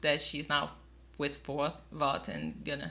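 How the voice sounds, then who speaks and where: At a moderate pace, a woman speaks with a Portuguese accent. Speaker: YouTube reactor. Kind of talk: video review monologue. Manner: casual, slightly halting.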